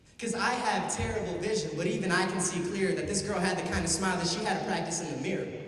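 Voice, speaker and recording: Very fast pace over noticeable background noise. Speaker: spoken word poet. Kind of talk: spoken word poetry performance. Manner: serious, earnest.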